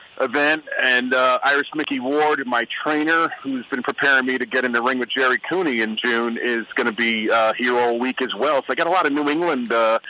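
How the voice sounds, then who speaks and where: A man's medium-pitched voice at a fairly quick pace, fairly even in intonation, with hardly any pauses and noticeable background noise. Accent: Brooklyn. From New York, Brooklyn. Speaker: former football player and radio guest. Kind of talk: radio interview.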